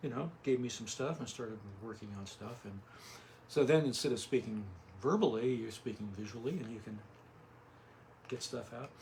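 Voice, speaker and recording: Mumbling quietly at a moderate pace, a man leaves long, frequent pauses while his loudness swings widely. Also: medium pitch for a man, ordinary pitch variation. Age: 70s. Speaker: artist and graphic designer. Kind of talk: interview. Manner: halting.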